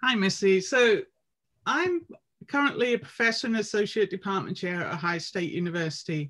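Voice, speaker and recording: Here is a fairly quick speaker with an English accent. The intonation is lively. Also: woman, medium pitch for a woman. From England. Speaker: professor of physical education. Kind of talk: casual academic conversation.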